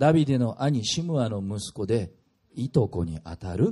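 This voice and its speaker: With a dark, mellow tone, a man speaks at a fairly slow pace, somewhat breathy, his pitch swinging very widely. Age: 40s. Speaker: pastor. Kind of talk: sermon.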